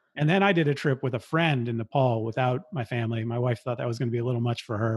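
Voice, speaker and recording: A man with a Californian accent, medium in pitch and somewhat breathy, in a dry, close sound with no echo. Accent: Californian American English. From US West Coast, San Francisco Bay Area. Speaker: podcaster and backpacker. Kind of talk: interview conversation.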